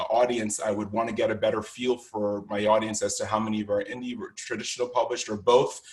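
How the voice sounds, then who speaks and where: Very fast speech from a man, on a very clean recording against a silent background. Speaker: conference workshop instructor. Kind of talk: lecture.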